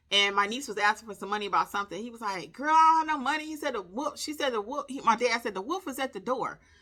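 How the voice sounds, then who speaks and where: Raising and projecting her voice, a woman speaks in a high pitch with an animated tone. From US Midwest, Detroit. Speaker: content creator mentor. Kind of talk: casual tutorial monologue.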